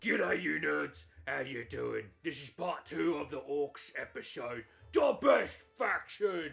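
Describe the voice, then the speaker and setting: Over faint music in the background, a put-on character voice comes out gruff and strained at a fairly slow pace. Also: man. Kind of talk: casual, jokey greeting.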